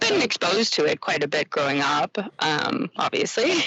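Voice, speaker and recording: A woman with a Canadian accent, lively intonation and a fairly slow pace, over noticeable background noise. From Quebec, Canada. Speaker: ironworker. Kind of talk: casual interview. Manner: hesitant, many fillers.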